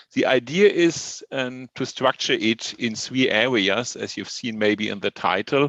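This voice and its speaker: Here a man talks at a fairly slow pace and medium pitch, with ordinary pitch variation and a bright, sharp tone. The sound is dry and close with no echo over a quiet background. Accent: German. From Germany. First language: German. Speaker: professor. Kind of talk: lecture. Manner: hesitant, with fillers.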